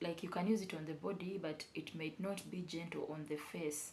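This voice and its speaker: A woman talks at a moderate pace in a fairly low voice. Her intonation stays fairly even, and the room echo is audible. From Uganda. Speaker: beauty vlogger. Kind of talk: casual vlog tutorial. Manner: halting, with fillers and repetitions.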